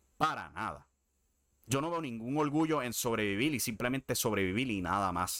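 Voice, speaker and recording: The voice has a bright, sharp tone and lively intonation, captured in a very clean recording with a silent background. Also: man. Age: 30s. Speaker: wrestling podcast host. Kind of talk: solo commentary podcast. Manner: casual.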